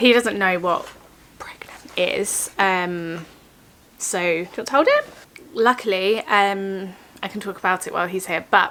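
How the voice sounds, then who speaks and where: At a fairly slow pace, a woman speaks at a medium pitch with ordinary pitch variation over noticeable background noise. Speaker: vlogger. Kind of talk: casual vlog talk. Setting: at home. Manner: soft-spoken.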